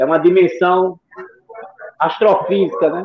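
A man's high-pitched voice, with ordinary pitch variation, unfolds at a fairly slow pace. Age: 60s. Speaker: chess player and teacher. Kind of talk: live stream talk.

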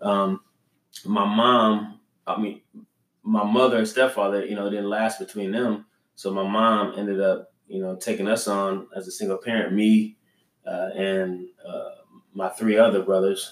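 A fairly low-pitched man's voice with an American accent, fairly slow, in a monotone, flat intonation. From Los Angeles, California. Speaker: entrepreneur, business co-founder. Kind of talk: casual interview.

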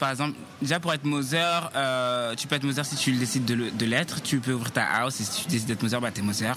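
A man's voice over noticeable background noise. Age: 20s. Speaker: voguing dancer and model. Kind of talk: interview. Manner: casual with hesitations.

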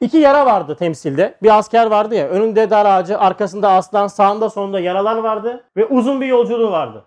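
A man's very fast, high-pitched speech with lively intonation and an animated tone. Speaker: religious teacher. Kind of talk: religious lecture.

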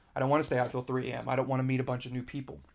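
The intonation is monotone and flat. A man speaks at medium pitch. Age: 20s. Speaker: podcast host. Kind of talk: solo monologue podcast. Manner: filler-heavy, repetitive.

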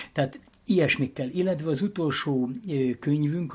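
A man's somewhat breathy, fairly high voice with ordinary pitch variation at a moderate pace. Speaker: former president of a greyhound hunting association. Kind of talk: interview. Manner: animated.

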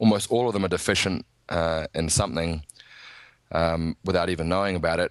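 Against a quiet background with a dry, close sound and no echo, a man with a New Zealand accent speaks at a fairly quick pace in a very deep, low pitch, his intonation fairly even and his pauses long and frequent. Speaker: nutritionist and strength coach. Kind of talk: casual interview chat.

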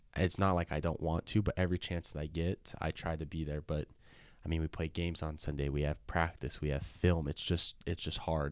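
A man with a western US accent speaks at a fairly quick pace in a very deep, low pitch with fairly even intonation, on a very clean recording with a silent background. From Utah. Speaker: college soccer player. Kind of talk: casual chat. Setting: studio.

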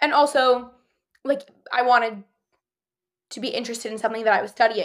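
In a very clean recording with a silent background, a woman with a New Jersey accent talks at a very fast pace, her high voice showing ordinary pitch variation. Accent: American (New Jersey). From New Jersey (Ridgewood). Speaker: university student. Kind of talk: casual interview chat.

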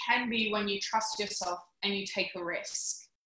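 With an Australian accent, a woman speaks at a very slow pace with ordinary pitch variation. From Australia, Canberra. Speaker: podcast host. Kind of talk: interview. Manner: animated.

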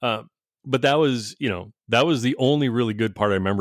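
Fairly quick and with ordinary pitch variation, a man is talking. He has an ordinary speaking voice. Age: 40s. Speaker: podcast host. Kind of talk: casual chat.

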